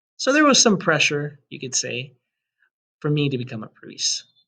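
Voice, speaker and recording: Bright and sharp in tone, a man with a Spanish accent talks at a fairly high pitch. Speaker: high school Spanish teacher. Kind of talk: presentation to parents. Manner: formal.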